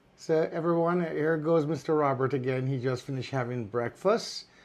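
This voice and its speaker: A man's ordinary speaking voice at medium pitch, with lively intonation. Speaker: caregiver. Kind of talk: casual talk to camera.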